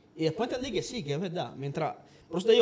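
A man speaks at a high pitch. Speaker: podcast co-host, salesman. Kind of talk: casual chat.

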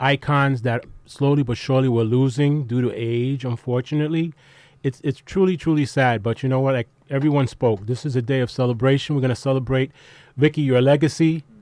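This is an unremarkable speaking voice at a fairly quick pace with fairly even intonation. The background is quiet. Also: man, dry, close sound with no echo. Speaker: occasional guest host. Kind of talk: farewell speech.

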